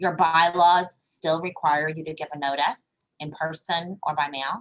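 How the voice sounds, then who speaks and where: The speaker is a woman. She goes at a fairly slow pace. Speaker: attorney. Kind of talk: webinar talk. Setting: video call.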